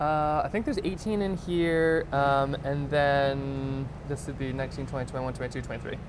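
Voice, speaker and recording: At a moderate pace and with hardly any pauses, a man speaks in a fairly high voice, with audible room echo and noticeable background noise. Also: ordinary pitch variation. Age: 30s. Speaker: watercolor artist. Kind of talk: casual chat. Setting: livestream while painting.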